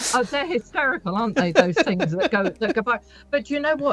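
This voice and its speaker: Her delivery is very fast and somewhat breathy, with very wide pitch swings. The woman's voice sounds dry and close, with no echo. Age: 60s. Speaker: business owner. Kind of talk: radio interview.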